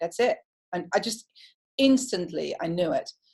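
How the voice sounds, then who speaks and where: A woman speaks with a Dutch accent. Her pace is fairly quick. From Netherlands. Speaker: hairdresser and creative director. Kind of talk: interview. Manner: direct.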